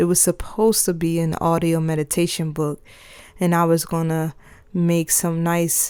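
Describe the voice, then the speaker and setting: A woman's fairly low, monotone voice with flat intonation at a moderate pace, on a very clean recording with a silent background. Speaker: podcaster. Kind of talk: personal audio journal podcast. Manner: casual, reflective.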